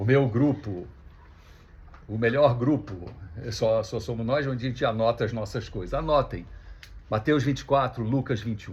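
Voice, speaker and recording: Long, frequent pauses break up a somewhat breathy voice at a moderate pace with ordinary pitch variation. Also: man, medium pitch for a man. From Brazil, Rio de Janeiro. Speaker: speaker at a religious gathering. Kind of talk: talk to an audience. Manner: casual, conversational.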